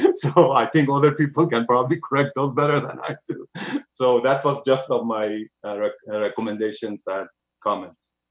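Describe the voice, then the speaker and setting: A man with a non-native accent speaks at a moderate pace, his voice fairly high-pitched with ordinary pitch variation. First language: not English. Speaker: planning commissioner. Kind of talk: public meeting discussion. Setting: video call.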